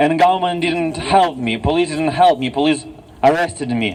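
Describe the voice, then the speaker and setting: Over noticeable background noise, a man with a Russian accent speaks in a fairly high voice. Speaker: activist. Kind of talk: rally speech. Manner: halting.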